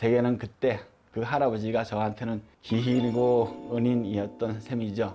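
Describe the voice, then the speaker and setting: Music plays behind a man speaking. His medium-pitched voice has monotone, flat intonation. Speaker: shaman (Buddhist-style ritual master). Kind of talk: personal story told to camera. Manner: stutters at times.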